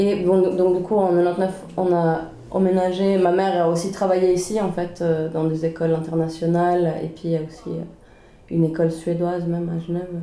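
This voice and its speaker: In a room with audible echo, a woman talks at a moderate pace with a fairly low pitch and monotone, flat intonation. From Sweden (Stockholm), then Geneva from age 11. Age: 20s. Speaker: podcast co-host. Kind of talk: casual chat. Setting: home kitchen.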